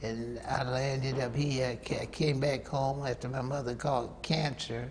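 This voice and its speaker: In a Southern US accent, a man speaks fairly slowly at a medium pitch with a monotone, flat intonation and audible room echo. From US South, North Carolina. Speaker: saxophonist. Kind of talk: interview. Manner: halting.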